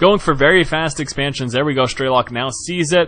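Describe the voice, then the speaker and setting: A man speaks in an enthusiastic tone at a fairly quick pace. There is noticeable background noise. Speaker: game commentator. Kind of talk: esports game commentary. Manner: enthusiastic, fast-paced.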